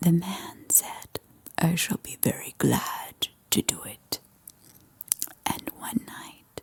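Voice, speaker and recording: A woman whispering at a very slow pace, with long, frequent pauses, big swings in loudness, a dry, close sound with no echo and noticeable background noise. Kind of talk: ASMR bedtime story reading. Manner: whispered, soft-spoken.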